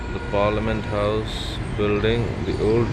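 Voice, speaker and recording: Noticeable background noise accompanies a man speaking with an Indian accent. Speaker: newsreader, radio jockey. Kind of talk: casual vlog talk to camera.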